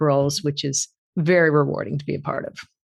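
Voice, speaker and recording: The speaker is a woman at a fairly quick pace. Her intonation stays fairly even. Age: 60s. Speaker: author and executive coach. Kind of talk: interview. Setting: podcast interview.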